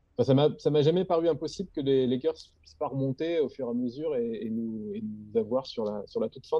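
A man talks at a fairly quick pace with medium pitch and lively intonation. His loudness swings widely. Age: 30s. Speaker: graphic designer and director. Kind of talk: casual chat. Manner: halting.

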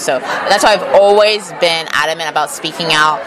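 A woman with an American accent, fairly low in pitch and fairly quick in pace, amid noticeable background noise and audible room echo. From Texas. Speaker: political influencer. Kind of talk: interview. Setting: conference venue.

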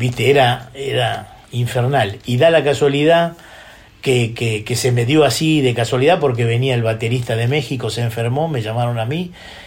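Moderate-paced speech in a Rioplatense accent with ordinary pitch variation, audible room echo and noticeable background noise. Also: man, medium pitch for a man. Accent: Rioplatense Spanish (porteño). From Buenos Aires, Argentina. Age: 60s. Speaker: drummer. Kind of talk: interview. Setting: his home studio.

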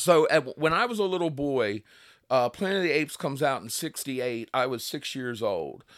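A man with an Eastern Shore Maryland accent, fairly high-pitched and fairly quick, with lively intonation on a very clean recording with a silent background. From Delmarva, Kent Narrows, Maryland. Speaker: author. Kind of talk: interview conversation.

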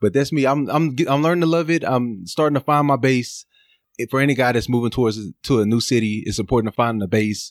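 A man at medium pitch and a very fast pace, with very even loudness, on a very clean recording with a silent background. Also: ordinary pitch variation. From Texas, Dallas. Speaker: pharmacist. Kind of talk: casual interview.

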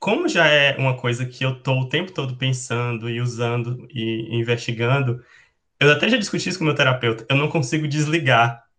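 A man speaks fairly quickly in a bright, sharp tone. His pitch is medium with ordinary variation. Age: 20s. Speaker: nurse and researcher. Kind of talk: panel discussion.

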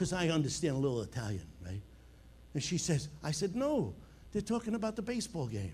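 The voice has an animated, passionate tone with very wide pitch swings and vocal fry. It comes with a slight Long Island accent. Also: man, fairly high pitch for a man. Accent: Long Island New York, slight. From Long Island, New York. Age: 70s. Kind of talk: sermon. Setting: church with live audience and online viewers. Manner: animated, passionate, humorous.

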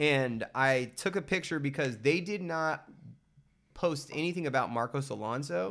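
Captured in a very clean recording with a silent background, a man talks at a moderate pace with lively intonation. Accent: American. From central California. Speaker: artist and broadcaster. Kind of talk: casual chat.

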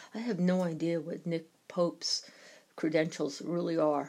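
A woman speaks with a New York accent at a fairly low pitch. Her pace is fairly slow and her intonation monotone and flat. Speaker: podcaster on UFO topics. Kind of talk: solo podcast commentary.

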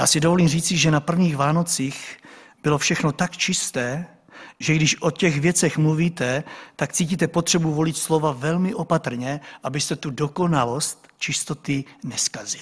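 A man has an ordinary speaking voice, fairly high in pitch, with fairly even intonation. He talks at a moderate pace on a very clean recording with a silent background. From Czech village. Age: 40s. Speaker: pastor. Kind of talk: sermon.

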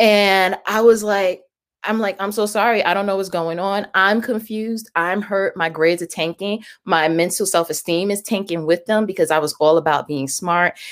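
Here is a woman with an ordinary speaking voice, medium in pitch. She talks at a moderate pace with ordinary pitch variation. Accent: American. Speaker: reverend and health business owner. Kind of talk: casual interview chat. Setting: video call.

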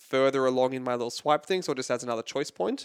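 A fairly high-pitched man with an American accent, the sound dry and close with no echo, the recording very clean with a silent background. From California. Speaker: happiness coach. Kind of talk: interview.

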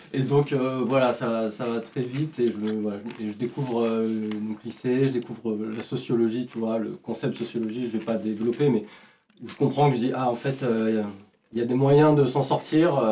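A man's normal speaking voice at medium pitch and a moderate pace, with fairly even intonation. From France, Vichy. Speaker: comedy writer. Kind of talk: casual chat.

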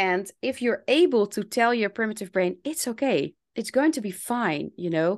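A woman with a Dutch accent speaks at a fairly slow pace, her intonation lively. The background is quiet. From Netherlands. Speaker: English teacher and language coach. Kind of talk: interview conversation.

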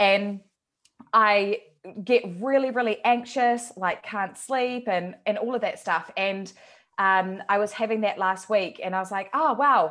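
At a fairly slow pace, a woman talks in a plain, everyday voice with medium pitch and ordinary pitch variation. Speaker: podcast co-host and coach. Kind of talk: casual chat.

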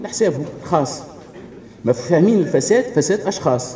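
A man's pitch swings very widely against noticeable background noise. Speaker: pharmacist. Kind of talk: audience contribution at public meeting.

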